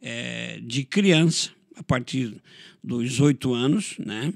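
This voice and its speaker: Vocal fry runs through a man's lively intonation. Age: 60s. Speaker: pastor. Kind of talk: interview testimony.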